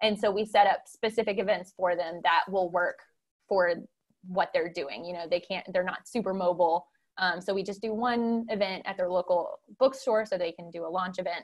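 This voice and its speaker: A woman talks at a moderate pace. Her pitch is medium and her intonation fairly even. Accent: American. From US South, Memphis, Tennessee. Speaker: book publicist. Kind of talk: interview. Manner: halting, many fillers.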